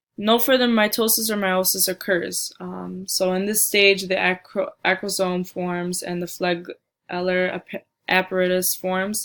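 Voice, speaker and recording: Slow-paced with hardly any pauses, a woman speaks in a monotone, flat intonation. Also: medium pitch for a woman. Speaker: student giving a class presentation. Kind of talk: recorded slide presentation. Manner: halting, with frequent fillers and restarts.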